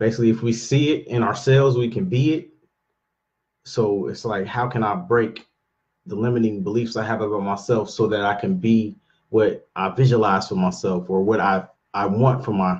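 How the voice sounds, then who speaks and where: Somewhat breathy, a man speaks at a medium pitch with ordinary pitch variation. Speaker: real estate investor vlogger. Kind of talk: casual daily vlog monologue. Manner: fast; halting, many fillers.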